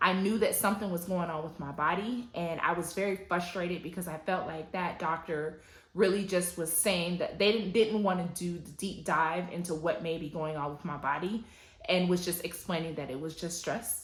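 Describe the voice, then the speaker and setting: There is audible room echo as a woman with an American accent talks at a moderate pace in a fairly low voice, her intonation fairly even. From US South, Atlanta, Georgia. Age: 30s. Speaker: lifestyle vlogger. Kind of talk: personal testimony vlog.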